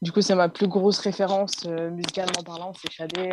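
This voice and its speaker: A woman's monotone, flat intonation at a moderate pace. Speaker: singer and music producer. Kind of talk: interview.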